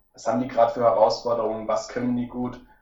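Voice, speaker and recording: There is audible room echo around a man's voice. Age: 20s. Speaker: financial coach, recent graduate. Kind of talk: casual interview.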